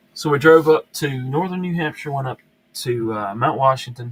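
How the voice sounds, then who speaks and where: There's a Southern US accent in this man's somewhat breathy voice. His pitch variation is ordinary. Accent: southern twang. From US South, upstate South Carolina. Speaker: YouTube knife reviewer, live stream host. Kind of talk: casual live stream chat. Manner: halting, many fillers and repeats.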